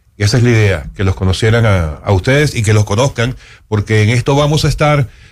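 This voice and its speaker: This man's voice is somewhat breathy and sits at medium pitch. His pitch varies in an ordinary way. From Venezuela. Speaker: radio host. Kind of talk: radio interview. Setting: radio studio.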